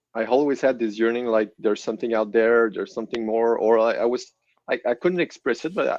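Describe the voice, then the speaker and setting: A man with a French Canadian accent talks at a very fast pace, with a medium pitch and ordinary pitch variation. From Quebec City, Canada. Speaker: guest sharing testimony. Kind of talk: testimony. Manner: halting.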